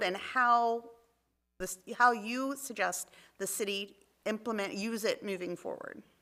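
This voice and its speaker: A woman with an American accent speaks at a fairly slow pace. Her voice is fairly high, with a bright, sharp tone. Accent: shore. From Maryland Eastern Shore. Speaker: city council member. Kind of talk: council meeting discussion.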